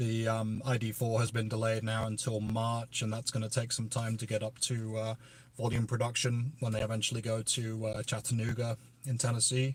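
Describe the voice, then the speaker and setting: The voice is somewhat breathy, moving at a fairly quick pace in a flat monotone. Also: man, medium pitch for a man. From northern England, Merseyside. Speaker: EV YouTuber. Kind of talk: livestream Q&A chat. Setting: outdoors at EV charging station. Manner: casual with many fillers.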